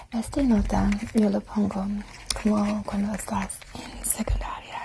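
This is a woman. She is whispering. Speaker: ASMR creator playing a friend. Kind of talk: ASMR roleplay. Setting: studio microphone. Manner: whispered, soft-spoken. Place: home room. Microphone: lapel.

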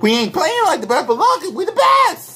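A man with an animated tone. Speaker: sports fan vlogger. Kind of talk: angry rant. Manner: loud, indignant, repeating himself in heated bursts; defiant, sarcastic, animated. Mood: boastful, taunting. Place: home room. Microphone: webcam.

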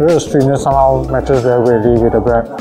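A man at a very fast pace, ordinary pitch variation, clear music behind him. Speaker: food reviewer. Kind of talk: casual food review commentary. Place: cafe.

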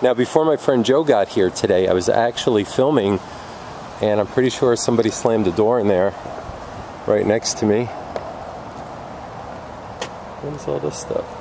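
A man talks at a moderate pace with ordinary pitch variation and long, frequent pauses. The sound is dry with no echo, with noticeable background noise. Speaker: urban explorer vlogger. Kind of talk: casual vlog chat. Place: open country. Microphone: phone near.

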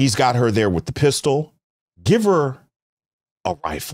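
A man speaks with very wide pitch swings. The background is quiet. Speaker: livestream host. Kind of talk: casual livestream commentary. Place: studio. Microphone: studio mic.

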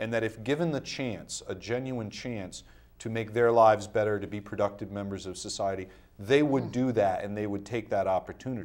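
A normal speaking voice with an American accent, moving at a fairly quick pace. The pitch varies in an ordinary way, and the background is quiet. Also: man, fairly low pitch for a man. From Rhode Island, US. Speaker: criminal defense attorney, former mayor; interview guest, attorney. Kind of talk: interview. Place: studio.

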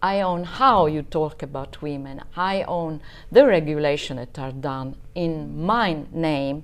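In an Italian accent, a woman with a very deep, low pitch speaks at a very slow pace, showing ordinary pitch variation and big swings in loudness. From southern Italy (Basilicata). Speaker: marketing professional; podcast guest. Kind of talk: casual interview chat. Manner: halting, with many fillers. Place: home room.

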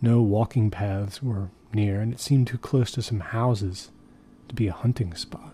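Deadpan and somewhat breathy, a man with a fairly low pitch and a dark, mellow tone keeps his intonation fairly even. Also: moderate pace. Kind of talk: first-person horror narration. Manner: low, measured, deadpan storytelling that builds dread.

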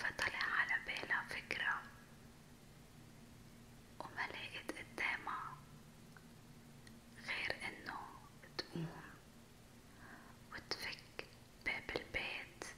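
Whispering very slowly in a Levantine accent, a woman leaves long, frequent pauses. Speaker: ASMR storyteller. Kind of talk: whispered ASMR storytelling. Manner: whispered, soft, slow. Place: home room. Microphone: studio mic.

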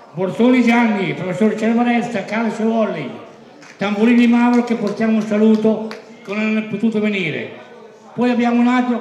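This man talks in a monotone, flat intonation at a moderate pace, his voice pitched high for a man. Noticeable background noise and audible room echo fill the recording. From Emilia, Reggio Emilia Apennines. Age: 80s+. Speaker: sports commentator celebrating his birthday. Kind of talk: party speech. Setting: party hall with audience.

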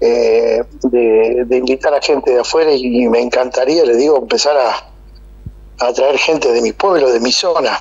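The voice moves at a fairly slow pace over noticeable background noise. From Argentina. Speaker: event organizer. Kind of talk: casual interview. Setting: phone call.

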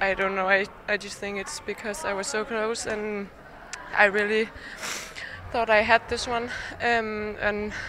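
A woman talks at a fairly slow pace with long, frequent pauses and fairly even intonation, in a dry sound with no echo and noticeable background noise. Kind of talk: interview answer. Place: hall. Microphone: handheld.

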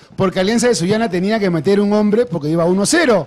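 This man talks at a fairly quick pace in an animated tone. His voice sits high for a man, with ordinary pitch variation. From Peru, Lima. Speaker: football pundit. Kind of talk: live commentary. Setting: livestream. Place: studio. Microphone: handheld.

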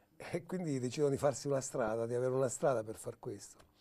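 The speech moves at a fairly quick pace in a dark, mellow tone. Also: man. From Turin, northern Italy (born in Calabria); Turin. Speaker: film director. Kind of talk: interview. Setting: newsroom studio.

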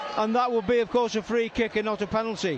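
A fairly quick pace with crowd noise in the background. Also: man. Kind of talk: live football match commentary. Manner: excitable, rising in pitch at goals and red card.

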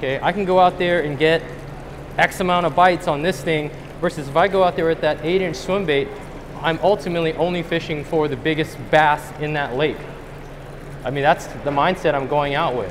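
With noticeable background noise behind him, a man talks at a fairly quick pace and keeps his intonation fairly even. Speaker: presenter. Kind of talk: lecture. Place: hall.

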